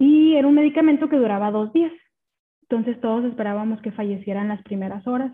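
Here is a woman with an ordinary speaking voice. She talks at a fairly quick pace with ordinary pitch variation. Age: 30s. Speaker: podcast guest sharing her grief. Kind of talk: personal testimony.

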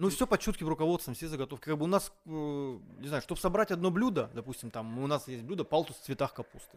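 Very fast, lively-intoned speech with hardly any pauses on a very clean recording with a silent background. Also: man, fairly high pitch for a man. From Moscow, Russia. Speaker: chef. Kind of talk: casual chat.

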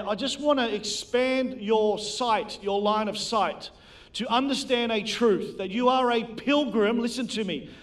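Heard with audible room echo, a man speaks in an extremely high voice. He talks at a fairly slow pace with fairly even intonation. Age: 40s. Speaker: preacher. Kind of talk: sermon.

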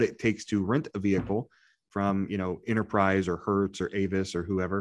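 Over a quiet background, an ordinary speaking voice with an American accent moves at a moderate pace. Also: man. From Indiana. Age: 30s. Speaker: podcast co-host, small business lender. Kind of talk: casual chat.

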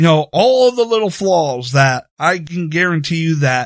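Using an ordinary speaking voice, a man talks at a moderate pace with lively intonation and a fairly high pitch. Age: 30s. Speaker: podcast host. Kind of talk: solo podcast monologue.

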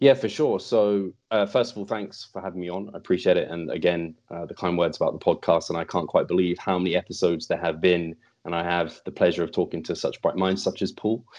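Against a quiet background, a man with a very deep, low pitch and a British accent talks at a very fast pace with ordinary pitch variation and hardly any pauses. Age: 30s. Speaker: fitness podcast host and coach. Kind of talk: interview conversation.

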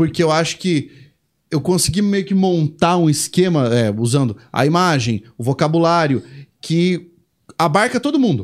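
Over a silent background on a very clean recording, a man with a normal speaking voice talks at a fairly slow pace, fairly high in pitch, with lively intonation and very even loudness. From Brazil. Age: 30s. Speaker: Portuguese language teacher. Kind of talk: casual chat.

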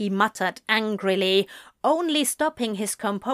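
The clip has a natural reading voice with lively intonation. The background is quiet.

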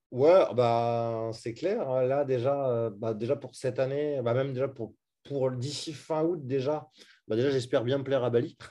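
A man speaks at a fairly slow pace and medium pitch with fairly even intonation. His tone is dark and mellow. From France, Brittany. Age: 30s. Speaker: e-commerce entrepreneur. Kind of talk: interview. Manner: casual, hesitant with fillers.

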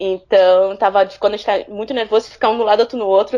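A woman's medium-pitched voice at a very fast pace. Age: 30s. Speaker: football fan, accountant. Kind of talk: casual interview.

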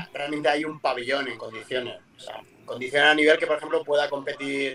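Over music in the background, a man talks at a fairly quick pace with a fairly high pitch. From Murcia, Spain. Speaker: basketball coach. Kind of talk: interview. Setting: video call from a parked car.

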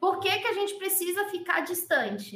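The voice is raised and projected, with a bright, sharp tone. It moves at a fairly slow pace. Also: woman. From Pernambuco, Brazil. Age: 20s. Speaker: sign language interpreter. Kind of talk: casual interview.

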